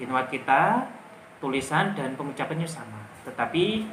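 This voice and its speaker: The speaker has a strong Javanese accent and lively intonation at a moderate pace. Noticeable background noise and audible room echo fill the recording. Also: man. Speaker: English teacher. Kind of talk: tutorial. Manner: casual.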